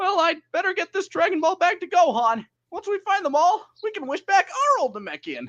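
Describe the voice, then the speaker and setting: The put-on character voice sits at an extremely high pitch and moves at a fairly quick pace. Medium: voice reel.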